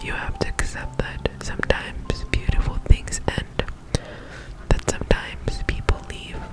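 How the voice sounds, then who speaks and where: Music plays in the background as a woman whispers. She keeps a fairly slow pace. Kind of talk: reading from a book, gentle affirmations. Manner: soft whispering.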